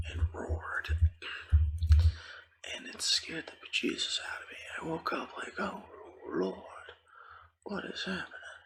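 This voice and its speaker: Whispering, a man keeps a moderate pace. Long pauses come often in his speech. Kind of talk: ASMR gaming ramble. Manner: whispered; rambling, casual.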